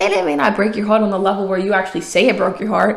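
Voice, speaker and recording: With an American accent, a woman at medium pitch speaks in an animated tone amid audible room echo. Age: 20s. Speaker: podcast host and author. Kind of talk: motivational podcast monologue.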